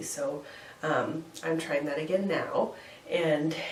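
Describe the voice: A woman's low-pitched voice with audible room echo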